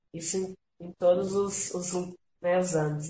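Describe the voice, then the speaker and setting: A woman speaks in a somewhat breathy voice. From São Paulo state, Franca. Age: 30s. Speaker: visual artist and art teacher. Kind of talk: casual chat.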